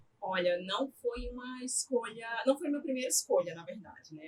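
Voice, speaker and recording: Her pace is moderate. The voice belongs to a woman. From Brazil, Aracaju, Sergipe (Northeast). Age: 20s. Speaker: psychologist. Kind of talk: podcast interview.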